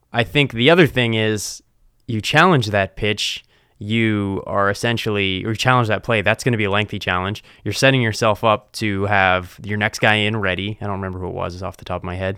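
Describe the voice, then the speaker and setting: A man with an American accent, a normal speaking voice, fairly low in pitch with fairly even intonation, big swings in loudness and a fairly quick pace. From US East Coast. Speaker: podcast host. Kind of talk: casual sports banter.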